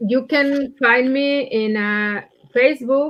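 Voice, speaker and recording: In a Mexican accent, a woman speaks at a high pitch. She goes very slowly, with ordinary pitch variation. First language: Spanish. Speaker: poet. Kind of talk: poetry reading event remarks. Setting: livestreamed library reading. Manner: halting.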